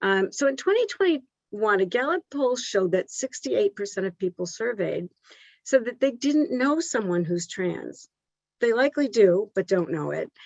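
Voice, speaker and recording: The pace is moderate. The pitch makes very wide swings. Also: woman, fairly high pitch for a woman. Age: 60s. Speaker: guest speaker, mother of a transgender daughter. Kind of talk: presentation to colleagues. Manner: halting, many filler words.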